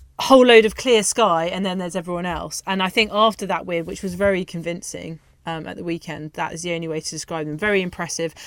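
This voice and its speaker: This woman has an unremarkable speaking voice at a medium pitch with ordinary pitch variation. The recording is very clean, with a silent background. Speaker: radio host. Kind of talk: radio sports show presenting. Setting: studio.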